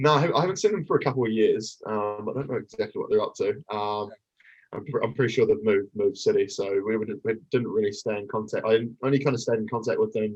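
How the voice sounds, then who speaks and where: This speaker has a New Zealand accent. The pace is very fast. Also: man. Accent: full Kiwi. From New Zealand, East Auckland. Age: 30s. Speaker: athlete and coach. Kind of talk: casual chat.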